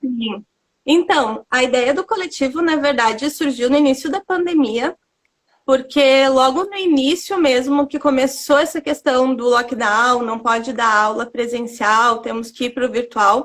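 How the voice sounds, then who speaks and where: Fairly slow delivery from a woman, her pitch high and her pitch variation ordinary. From southern Brazil, Rio Grande do Sul interior. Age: 30s. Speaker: dance teacher and studio owner. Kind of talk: interview. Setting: online live stream.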